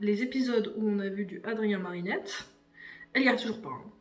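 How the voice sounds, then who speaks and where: A woman speaks at a fairly high pitch with ordinary pitch variation. Room echo and noticeable background noise are audible. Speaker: YouTuber reviewing cartoon series. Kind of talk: casual vlog commentary. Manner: improvised, spontaneous.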